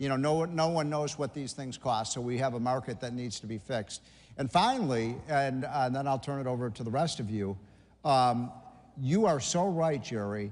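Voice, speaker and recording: This man has an unremarkable speaking voice at medium pitch. He talks at a moderate pace with ordinary pitch variation. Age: 60s. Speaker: policy commentator. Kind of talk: conference panel discussion.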